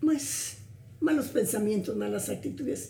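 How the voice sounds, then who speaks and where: In a room with audible echo, a woman talks at a fairly slow pace with a fairly high pitch, vocal fry, and a dark, mellow tone. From Guatemala, Suchitepéquez. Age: 80s+. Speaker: grandmotherly family friend. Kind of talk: interview conversation.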